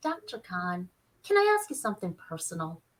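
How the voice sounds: A squeaky, put-on character voice. It moves at a fairly quick pace. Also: woman, medium pitch for a woman.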